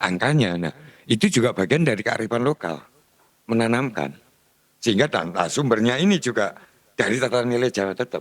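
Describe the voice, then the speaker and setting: A man speaks at medium pitch with lively intonation and a fairly quick pace. Long, frequent pauses break up his speech. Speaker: speaker on local culture. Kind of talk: discussion forum talk. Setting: meeting room.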